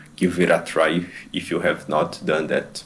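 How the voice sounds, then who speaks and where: Speech comes at a fairly slow pace. A non-native accent is present. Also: man. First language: not English. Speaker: fitness vlogger. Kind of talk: voiceover narration of own stretching routine. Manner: halting, with hesitations and repeated words. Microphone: bad microphone.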